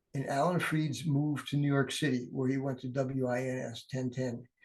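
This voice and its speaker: With an American accent, a man talks at a moderate pace in a somewhat breathy voice. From US Midwest, Cleveland Ohio. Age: 70s. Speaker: oral historian and attorney. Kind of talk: casual interview.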